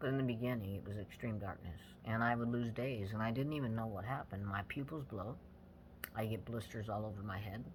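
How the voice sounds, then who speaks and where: Audible room echo surrounds a man who talks at a very fast pace with a medium pitch and fairly even intonation. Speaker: brain injury survivor vlogger. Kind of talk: personal testimony monologue. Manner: halting, with frequent fillers.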